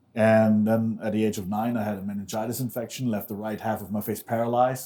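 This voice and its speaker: This man has a German accent and a medium pitch. His tone is dark and mellow, and he talks at a fairly quick pace. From Germany. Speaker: former extremist turned activist, author. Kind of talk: interview before a live audience. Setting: stage with live audience.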